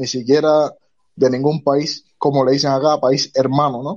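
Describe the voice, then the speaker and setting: A man's fairly high voice at a fairly slow pace, a plain, everyday voice. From Cuba. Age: 20s. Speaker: self-employed worker, former port worker. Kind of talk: live audio space discussion.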